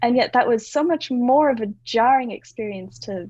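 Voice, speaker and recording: A woman's high-pitched voice in an Australian accent. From Australia, moved around (also US). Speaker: branding and website designer. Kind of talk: podcast interview. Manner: conversational, uses fillers.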